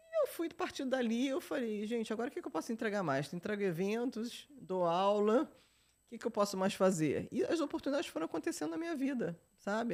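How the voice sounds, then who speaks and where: A woman talks at a fairly quick pace. Her fairly high pitch swings very widely. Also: very clean recording, silent background. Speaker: journalist and entrepreneur. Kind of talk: podcast interview. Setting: studio. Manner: animated.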